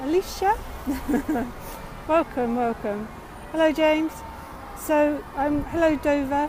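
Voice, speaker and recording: A woman's high voice at a fairly slow pace, with ordinary pitch variation, long, frequent pauses and noticeable background noise. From England. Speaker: livestream tour guide. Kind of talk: live stream walking tour chat. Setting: outdoors, city street. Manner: halting, many fillers.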